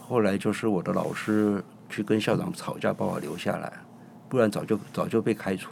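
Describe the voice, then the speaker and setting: Speaking at a moderate pace, a man has a normal speaking voice with a fairly low pitch and ordinary pitch variation. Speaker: chef and restaurant owner. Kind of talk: casual interview.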